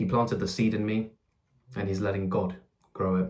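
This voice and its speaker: A man with a very deep, low voice speaks fairly quickly in a monotone, flat intonation. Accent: English. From England. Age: 20s. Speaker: YouTuber. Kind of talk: testimony. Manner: halting, with fillers and repeats.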